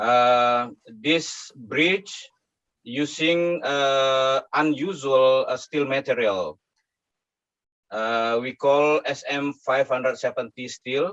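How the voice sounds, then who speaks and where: A man's very slow speech at a fairly high pitch, with ordinary pitch variation and a dry, close sound with no echo. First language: not English. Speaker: conference paper presenter. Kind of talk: academic presentation. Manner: halting.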